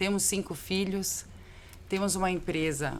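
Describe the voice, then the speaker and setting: In a São Paulo accent, a woman speaks with fairly even intonation. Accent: paulista. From Brazil, São Paulo. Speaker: business owner. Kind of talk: podcast interview.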